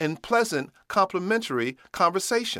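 Against a silent background on a very clean recording, a man with an American accent speaks at a moderate pace with a high pitch, very wide pitch swings, a bright, sharp tone and an animated tone. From US Midwest. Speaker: storyteller. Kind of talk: personal story telling. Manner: animated, humorous.

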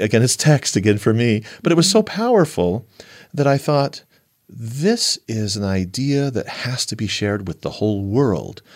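A man speaks at medium pitch and a moderate pace with lively intonation. He has a plain, everyday voice. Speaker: panel respondent. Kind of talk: panel discussion response.

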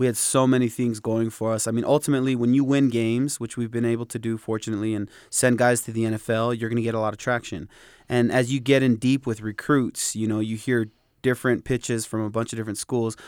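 In a very clean recording with a silent background, a man speaks very fast at medium pitch with monotone, flat intonation. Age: 30s. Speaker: college football coach. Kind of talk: interview. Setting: media day event.

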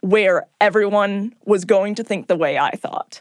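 Using a plain, everyday voice, a woman speaks at a moderate pace and a medium pitch. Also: dry, close sound with no echo. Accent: American. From California. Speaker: podcast producer. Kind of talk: reflective interview.

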